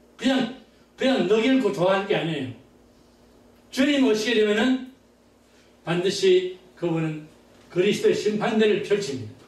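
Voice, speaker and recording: Audible room echo surrounds a man who speaks at a moderate pace in a high pitch with lively intonation and long, frequent pauses. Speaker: pastor. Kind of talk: sermon.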